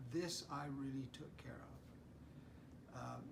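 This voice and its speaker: At a fairly slow pace, a man speaks in a somewhat breathy voice of medium pitch. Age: 80s+. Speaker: mentor. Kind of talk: interview answer.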